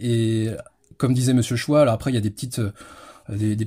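A man's somewhat breathy voice with a dark, mellow tone, at a fairly quick pace in a monotone, flat intonation. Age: 30s. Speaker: history enthusiast. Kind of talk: interview. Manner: halting.

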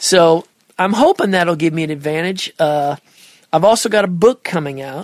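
Someone speaks at a moderate pace in a Midwestern accent. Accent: Midwest American. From Nebraska. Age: 50s. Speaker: audio mixing engineer. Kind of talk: casual interview chat.

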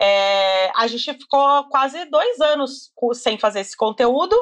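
Her pitch is high and swings very widely. The woman talks at a fairly slow pace over a quiet background. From Brazil, Campinas (São Paulo state). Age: 30s. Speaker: beauty content creator. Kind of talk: casual interview chat.

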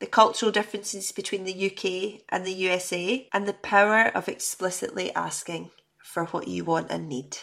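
A woman speaks with vocal fry. The recording is very clean, with a silent background. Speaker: podcast host. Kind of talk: casual interview conversation.

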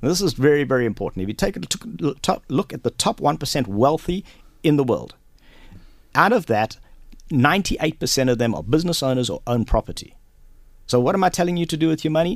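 Vocal fry runs through a man's fairly high voice as he speaks very fast. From South Africa, Durban. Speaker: real estate investor. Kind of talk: radio interview. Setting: radio studio.

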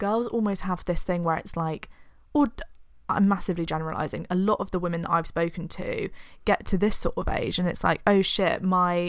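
Speaking fairly quickly with a British accent, a woman uses a medium pitch and ordinary pitch variation. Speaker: podcast co-host. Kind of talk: casual chat.

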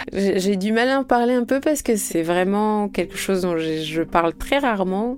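Here a woman has an unremarkable speaking voice at a medium pitch, talking at a fairly slow pace. She leaves hardly any pauses and holds a very even loudness. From France. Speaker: singer-songwriter. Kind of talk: interview.

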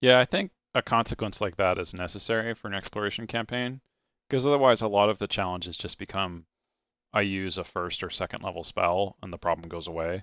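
With an American accent, a man talks at a fairly low pitch. His pace is fairly quick and his pitch varies in an ordinary way. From San Francisco Bay Area, US. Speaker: podcast host. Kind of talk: casual interview chat.

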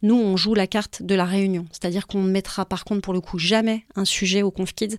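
On a very clean recording with a silent background, a woman talks at a fairly quick pace. The sound is dry and close, with no echo. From Paris, France. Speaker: founder of a children's conference series. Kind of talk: casual interview. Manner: hesitant, many fillers.

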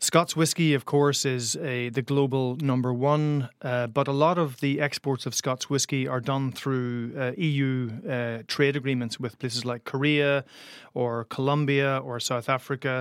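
A man with a Northern Irish accent speaks at a fairly slow pace and medium pitch, with hardly any pauses. His intonation is fairly even, and the recording is very clean with a silent background. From Northern Ireland, Derry. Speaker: journalist and author on Brexit and Ireland. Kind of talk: interview.

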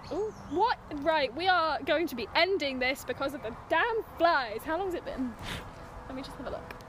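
Over noticeable background noise, a speaker with an English accent talks at a moderate pace, the intonation lively and the loudness swinging widely. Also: woman, extremely high pitch for a woman. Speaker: podcast co-host. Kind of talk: casual chat. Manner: animated.

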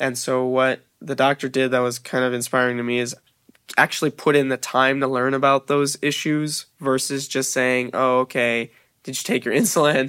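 At a moderate pace, a man with an American accent speaks in a monotone, flat way at medium pitch, his tone bright and sharp, the sound dry and close with no echo. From US, Long Beach, California. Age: young (18). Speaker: college student. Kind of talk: personal storytelling. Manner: casual with fillers.

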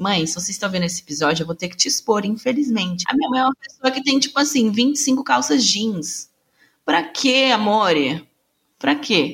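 A woman speaks at a medium pitch with very wide pitch swings. Her voice is somewhat breathy. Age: 20s. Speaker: podcast host, journalist. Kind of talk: casual chat.

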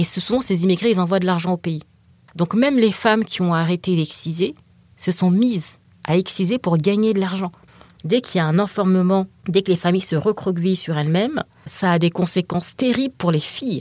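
A woman speaks in a normal speaking voice at a fairly quick pace, with medium pitch and ordinary pitch variation. The recording is very clean, with a silent background. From France, African heritage. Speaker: writer, excision survivor. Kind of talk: interview.

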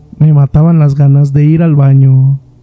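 The pace is fairly slow, with a dark, mellow tone and somewhat breathy delivery. Intonation stays monotone and flat, and the sound is dry and close with no echo. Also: man. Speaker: horror story podcast host. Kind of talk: scripted narration.

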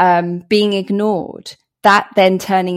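With a southern English accent, a woman talks in a medium pitch and a monotone, flat intonation over a very clean recording with a silent background. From England, Hertfordshire. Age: 40s. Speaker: anti-racism author and speaker. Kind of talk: podcast interview.

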